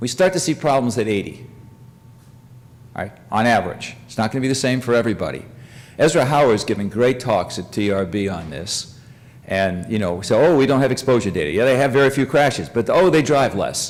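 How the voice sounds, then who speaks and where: A man at medium pitch, fairly quick pace and lively intonation, with audible room echo. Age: 70s. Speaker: professor. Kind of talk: lecture. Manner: halting.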